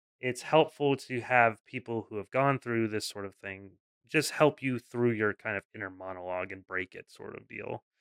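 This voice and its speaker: A man speaks at a moderate pace with a medium pitch. It's a normal speaking voice with ordinary pitch variation. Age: 20s. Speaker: podcast host. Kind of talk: casual chat.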